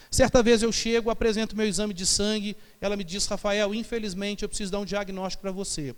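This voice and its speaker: A man talks, and audible room echo lingers on his words. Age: 30s. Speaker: pastor. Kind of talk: sermon. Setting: church.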